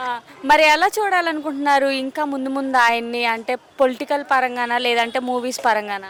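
Her pitch sits high. The woman's voice shows ordinary pitch variation. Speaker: street interviewer. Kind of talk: interview questions.

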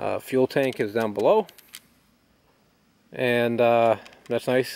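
A man's voice with a dry sound and no echo. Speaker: tractor owner. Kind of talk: casual walkaround commentary. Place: garden.

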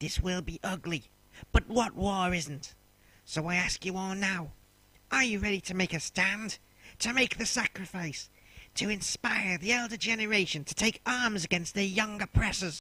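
A man's raised, projected voice at a high pitch and moderate pace, in a dry, close sound with no echo. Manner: solemn, rousing.

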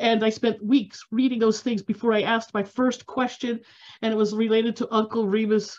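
Over a quiet background, a woman speaks in a monotone with flat intonation. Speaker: food history society organizer. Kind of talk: event moderation. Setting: video call. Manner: halting. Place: home room. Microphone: video call.

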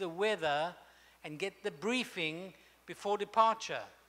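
With a bright, sharp tone, a man speaks at a fairly slow pace. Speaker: speaker. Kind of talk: sermon. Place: hall. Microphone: handheld.

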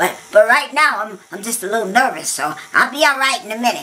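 Fairly quick and fairly high in pitch, a female-sounding voice performs a put-on character. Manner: stammering, nervous, excitable.

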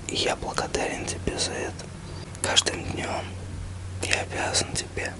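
Whispering and soft-spoken, a man talks at a fairly slow pace over loud background noise. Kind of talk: personal heartfelt message to camera. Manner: soft intimate whisper close to mic. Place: home room. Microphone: phone near.

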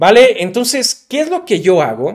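A man talks in an animated tone at a moderate pace, with very wide pitch swings. The background is quiet. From Mexico. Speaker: digital marketing youtuber. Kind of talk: tutorial.

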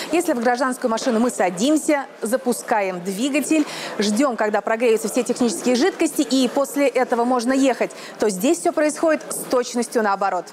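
Over noticeable background noise, a woman talks at a moderate pace with a high pitch. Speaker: TV motoring reporter. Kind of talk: presenter piece to camera. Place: garage.

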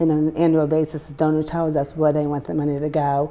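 Talking at a very fast pace, a woman speaks with a very deep, low pitch. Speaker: guest. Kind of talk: interview answer. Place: studio. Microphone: lapel.

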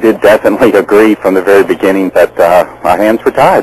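A man speaks at a fairly quick pace, the sound dry with no echo. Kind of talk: call-in encouragement to host.

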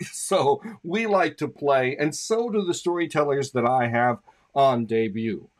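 Man with very wide pitch swings at a moderate pace in a quiet background. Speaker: show host. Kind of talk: host introduction. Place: home room. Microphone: studio mic.

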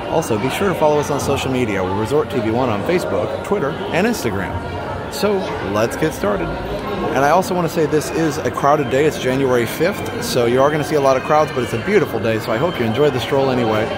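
Over crowd noise in the background, a man speaks at a very fast pace. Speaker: theme park vlogger. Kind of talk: casual vlog chat. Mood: upbeat, friendly. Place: tunnel cave. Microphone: phone near.

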